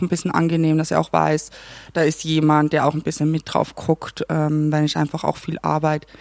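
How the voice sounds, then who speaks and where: In a Carinthian accent, a woman talks at a moderate pace with a very deep, low pitch on a very clean recording with a silent background. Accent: Carinthian Austrian German. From Austria, Carinthia (Klagenfurt). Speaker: assistant theatre director. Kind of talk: casual chat. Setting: theatre canteen.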